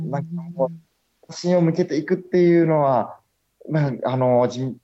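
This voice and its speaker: The speaker is a man. His tone is dark and mellow. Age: 20s. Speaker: aquarium director. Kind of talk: interview. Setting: Skype call. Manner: hesitant with fillers.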